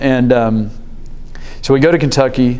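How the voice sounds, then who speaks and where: This man has a Southern US accent and a medium pitch. Noticeable background noise and audible room echo fill the recording. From Memphis, Tennessee (US South). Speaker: business executive sharing faith story. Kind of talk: testimony. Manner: hesitant, many fillers and restarts.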